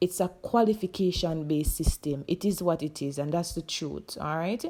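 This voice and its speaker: On a very clean recording with a silent background, a woman talks at a fairly quick pace in a dark, mellow tone, with a fairly low pitch and ordinary pitch variation. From Jamaica. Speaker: high school teacher. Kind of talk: casual talk to camera.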